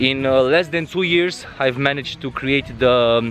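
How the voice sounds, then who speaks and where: Over noticeable background noise, a man with a Romanian accent and a fairly high pitch speaks at a fairly slow pace with ordinary pitch variation. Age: 30s. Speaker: travel vlogger. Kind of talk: vlog monologue. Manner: halting, many fillers.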